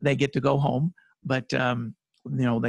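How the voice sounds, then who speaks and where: A man speaks with fairly even intonation. The sound is dry with no echo, and the background is quiet. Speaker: guest. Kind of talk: interview answer. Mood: relaxed, occasional laughs. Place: studio.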